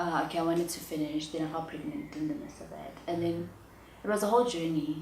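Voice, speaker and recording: A woman talks at a very fast pace with a fairly low pitch, ordinary pitch variation, and big swings in loudness. Audible room echo and noticeable background noise are present. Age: 20s. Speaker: auditor and entrepreneur. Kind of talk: interview.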